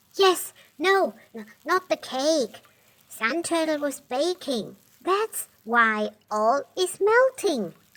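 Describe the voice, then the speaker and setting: A high-pitched, cartoonish character voice speaks at a very slow pace. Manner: excitable.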